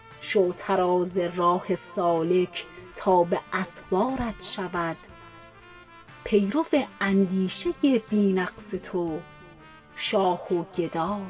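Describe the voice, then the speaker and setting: Over music in the background, a woman speaks very slowly in a calm, soothing tone at a medium pitch, with ordinary pitch variation and long, frequent pauses. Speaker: poetry reciter. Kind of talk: poetry reading.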